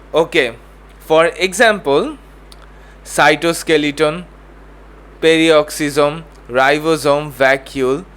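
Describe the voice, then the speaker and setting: A man speaks at a very slow pace with long, frequent pauses. His voice is fairly high, and his intonation is fairly even. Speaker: tutor. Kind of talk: tutorial. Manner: halting.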